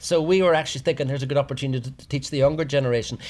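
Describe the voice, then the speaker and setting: A fairly high male voice with ordinary pitch variation. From Tyrone, Northern Ireland. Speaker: business owner, cookery school and events venue. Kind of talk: casual interview.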